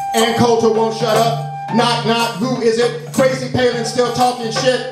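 A man speaks at a fairly slow pace, with clear music in the background and audible room echo. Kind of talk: spoken word performance. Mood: wry, political, impassioned. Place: stage.

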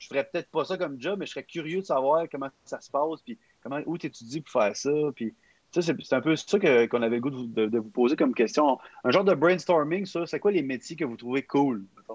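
With a Quebec accent and a fairly high pitch, a man talks at a fairly quick pace with lively intonation and big swings in loudness, in a dry sound with no echo over a quiet background. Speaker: youth podcast facilitator. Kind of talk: casual chat. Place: home room. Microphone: video call.

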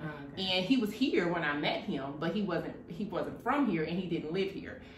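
A woman with a fairly low pitch talks at a fairly quick pace. There is light background noise and audible room echo. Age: 30s. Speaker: video blogger. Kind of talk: casual chat. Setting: at home over wine. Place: home room. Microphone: camera far.

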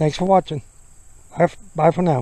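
A man speaks with a dark, mellow tone. The sound is dry, with no echo. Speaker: cyclist vlogger. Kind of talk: casual vlog chat. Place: bicycle. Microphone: phone near.

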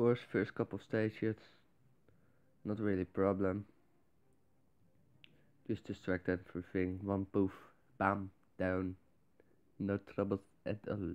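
A man's monotone, flat intonation at a fairly slow pace, with big swings in loudness. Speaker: mobile game player. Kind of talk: gameplay commentary.

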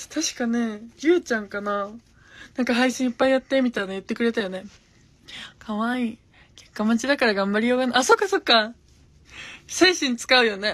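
A high-pitched woman talks at a fairly quick pace, broken by long, frequent pauses. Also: ordinary pitch variation, big swings in loudness. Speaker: gravure idol livestreamer; streamer chatting with viewers. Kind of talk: casual livestream chat. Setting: Instagram live. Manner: animated. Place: home room. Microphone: phone near.

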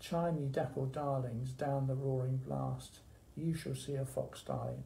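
At a fairly slow pace, a man delivers his words. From England. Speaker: library staff member hosting poetry session. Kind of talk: poetry reading, performed verse read aloud in a warm library chat. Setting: library video session. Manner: measured, rhythmic, expressive reading; friendly, conversational. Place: office. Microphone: phone near.

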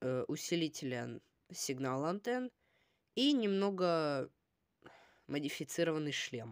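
Against a quiet background with a dry sound and no echo, a woman with a very deep, low pitch speaks at a very slow pace, her pitch swinging very widely between long, frequent pauses. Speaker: toy review video blogger; toy set reviewer. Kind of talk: product review. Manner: casual, hesitant with filler sounds. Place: home room. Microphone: phone near.

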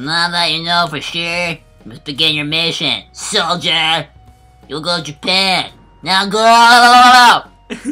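Faint music plays in the background. A man speaks fairly slowly in a high pitch. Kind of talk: comic overacting. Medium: audio drama. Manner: barking, commanding, impatient.

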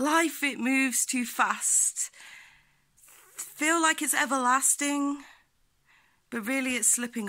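Against a quiet background, a woman speaks with a passionate tone in a bright, sharp voice with ordinary pitch variation. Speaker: poet, activist. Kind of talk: freestyle spoken word poetry. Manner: rhythmic, passionate. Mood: reflective, earnest, uplifting. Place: home room. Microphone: phone near.

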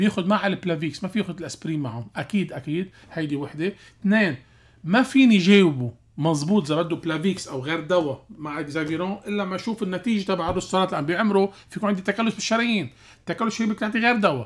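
Very fast and animated, a man with a Lebanese accent talks in a high voice with lively intonation. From Lebanon. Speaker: cardiologist; guest. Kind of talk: radio health call-in show. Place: studio. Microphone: studio mic.

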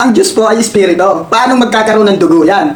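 A moderate pace over noticeable background noise. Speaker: religious reaction vlogger. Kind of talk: reaction video commentary. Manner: conversational, frequent fillers.

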